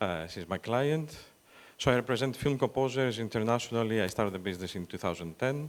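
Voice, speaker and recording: Speaking very fast with a Greek accent, a man uses lively intonation at medium pitch in a very clean recording with a silent background. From Greece, Athens. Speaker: talent agent for film composers. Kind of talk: panel discussion. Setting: stage with audience.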